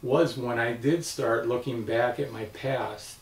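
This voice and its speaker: A man at medium pitch and a fairly slow pace, fairly even in intonation, with noticeable background noise. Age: 60s. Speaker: cancer patient. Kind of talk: testimony. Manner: halting.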